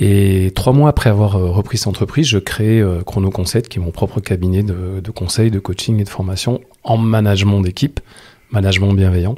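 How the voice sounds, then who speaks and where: Speaking with fairly even intonation, a man has a fairly low pitch and a dark, mellow tone. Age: 60s. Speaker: time management coach and trainer. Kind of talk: interview.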